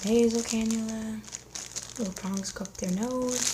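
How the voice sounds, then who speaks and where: Noticeable background noise sits behind a woman's voice. Her intonation stays fairly even. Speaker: paramedic / emergency medical ASMR creator. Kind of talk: ASMR unboxing, casual talk to camera. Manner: casual, conversational, slightly humorous.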